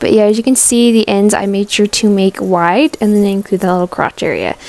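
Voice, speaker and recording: Talking at a very fast pace, a woman has a medium pitch and a dark, mellow tone. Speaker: crafting vlogger. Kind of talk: tutorial vlog. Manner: casual.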